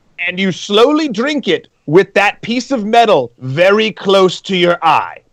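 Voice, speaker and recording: A man with a slight British accent speaks at a fairly slow pace in a high pitch. His intonation is lively, and the sound is dry and close with no echo. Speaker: show DJ and co-host. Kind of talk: casual chat.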